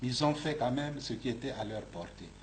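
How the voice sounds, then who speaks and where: A man's somewhat breathy voice carries audible room echo. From Republic of the Congo. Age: 60s. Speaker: bishop. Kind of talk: interview. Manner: halting, repeats words.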